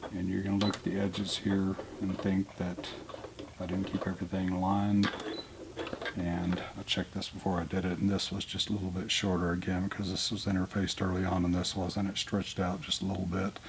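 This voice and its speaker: With noticeable background noise behind him, a man with a very deep, low pitch talks in a monotone, flat intonation at a fairly quick pace. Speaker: sewist. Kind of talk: sewing tutorial. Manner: casual.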